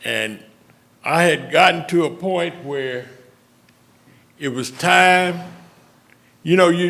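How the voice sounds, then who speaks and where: Speaking very slowly in a Louisiana accent, a man has a high pitch and ordinary pitch variation, with audible room echo. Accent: US Southern (Louisiana). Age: 70s. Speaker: retired civic leader. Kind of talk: speech at public meeting. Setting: city council meeting.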